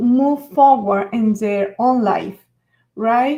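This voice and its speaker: In a Venezuelan accent, a woman with a fairly high, somewhat breathy voice speaks very slowly, using ordinary pitch variation. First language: Spanish. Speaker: author and NLP coach. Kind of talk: live stream talk. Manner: halting.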